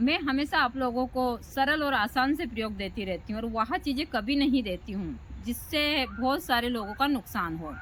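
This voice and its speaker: This woman speaks with a high pitch and lively intonation. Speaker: tantric practitioner and spiritual teacher. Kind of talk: spiritual talk to camera. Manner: slow and deliberate in videos.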